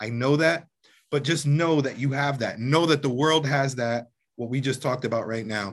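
A man's medium-pitched voice at a moderate pace. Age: 40s. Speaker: youth program founder and podcast host. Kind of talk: guided grounding exercise, call-and-response relaxation affirmations; casual group discussion with teens. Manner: playful, animated, laughing.

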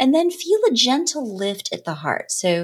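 Somewhat breathy and soothing, a woman speaks in a calm tone at a fairly slow pace on a very clean recording with a silent background. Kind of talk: guided meditation. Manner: slow, soothing, gently coaching; calm, encouraging, with long pauses between breaths.

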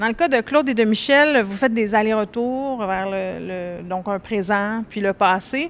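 Speaking at a fairly slow pace with hardly any pauses, a woman uses an ordinary speaking voice, fairly high in pitch with ordinary pitch variation. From Quebec, Laurentides. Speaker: panel moderator. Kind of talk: moderated panel discussion. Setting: live-streamed panel at book fair.

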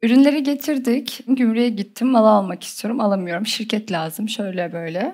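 Lively intonation, a dark, mellow tone and hardly any pauses. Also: woman, fairly high pitch for a woman, moderate pace. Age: 20s. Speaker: e-commerce entrepreneur. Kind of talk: interview. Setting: studio with audience.

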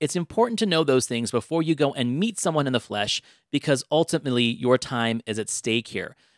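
Dry and close with no echo, a man speaks in an ordinary speaking voice at a fairly quick pace with lively intonation. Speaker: podcast host. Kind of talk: casual chat about dating and relationships.

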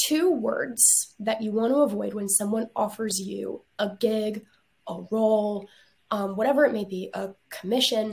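Fairly slow and somewhat breathy, a woman speaks at a fairly high pitch. Her pitch variation is ordinary. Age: 20s. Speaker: travel agent and arts management graduate. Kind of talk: interview. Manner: animated.

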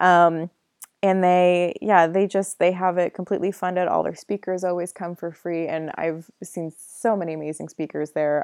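The background stays quiet. Delivery is fairly quick. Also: woman, dry, close sound with no echo. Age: 20s. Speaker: podcast host, nonprofit founder. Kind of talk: solo podcast monologue. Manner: animated.

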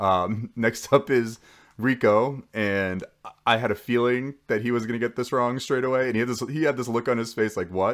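This is a normal speaking voice with lively intonation at a moderate pace. The recording is very clean, with a silent background. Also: man. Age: 30s. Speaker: podcast host, former reality show contestant. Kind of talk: casual recap monologue. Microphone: new microphone.

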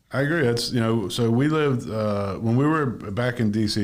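A man talks with lively intonation over audible room echo. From Maine, Bangor. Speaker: podcast host and real estate agent. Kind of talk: casual interview chat.

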